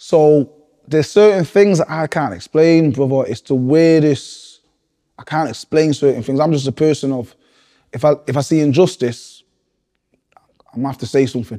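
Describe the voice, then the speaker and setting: In a northern English accent, a man speaks at a fairly high pitch in a dark, mellow tone with ordinary pitch variation. He keeps a moderate pace with long, frequent pauses on a very clean recording with a silent background. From Manchester, northern England. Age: 30s. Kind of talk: interview. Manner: animated.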